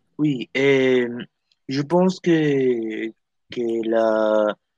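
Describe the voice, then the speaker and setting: The recording has a dry, close sound with no echo as a man with a Spanish accent talks at medium pitch with ordinary pitch variation. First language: Spanish (speaking French). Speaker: parent guest. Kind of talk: casual discussion. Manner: halting. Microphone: connection problems.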